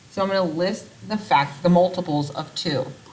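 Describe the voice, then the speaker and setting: In a room with audible echo, a woman speaks at a fairly low pitch. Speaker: math teacher. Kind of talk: recorded video lesson. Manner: casual.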